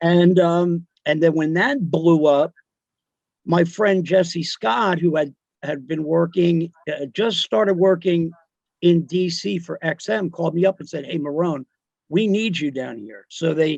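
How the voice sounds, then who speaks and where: In a New Jersey accent, a man talks at a high pitch and a fairly slow pace with ordinary pitch variation, the sound dry and close with no echo. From New Jersey, South Amboy. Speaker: radio DJ. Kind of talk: casual chat. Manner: halting.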